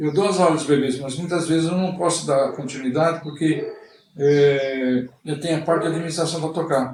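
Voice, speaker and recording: There is audible room echo as a man speaks at a moderate pace with a fairly high pitch. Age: 60s. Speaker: swimming instructor. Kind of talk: interview. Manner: halting.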